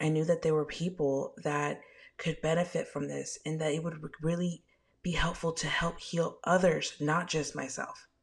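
A woman's somewhat breathy voice sits at a fairly low pitch and moves at a moderate pace. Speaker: spiritual medium podcaster. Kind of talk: casual solo podcast intro. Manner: animated, sassy, casual.

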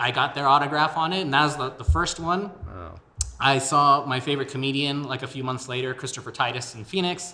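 An American accent at a moderate pace, with big swings in loudness, ordinary pitch variation, and noticeable background noise. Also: man. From El Paso, Texas. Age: 20s. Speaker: podcaster and local political candidate. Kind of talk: interview. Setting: studio.

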